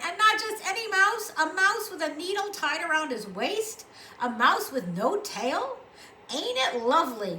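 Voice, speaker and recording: Using a put-on character voice, a woman goes squeaky and extremely high-pitched with very wide pitch swings, projecting loudly at a moderate pace over clear background noise. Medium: read story. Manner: gruff, folksy, with hearty laughs.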